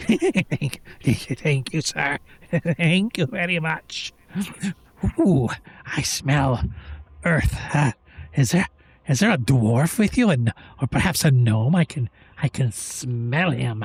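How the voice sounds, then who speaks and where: In a raspy put-on character voice of low-to-middle pitch, the speaker goes at a fairly slow pace with long, frequent pauses. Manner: pleading, sniffing.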